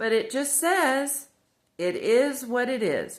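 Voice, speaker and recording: A high-pitched woman's voice with an American accent and very wide pitch swings. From Indiana, US Midwest. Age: 60s. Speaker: devotional video host. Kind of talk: casual devotional talk. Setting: at home by the fireplace. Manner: rambling, conversational.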